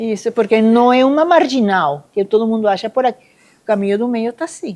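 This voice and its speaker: This is a woman with an ordinary speaking voice and a fairly high pitch. She talks at a moderate pace. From Venezuela, Caracas. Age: 60s. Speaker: Buddhist nun. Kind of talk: testimony at a live event.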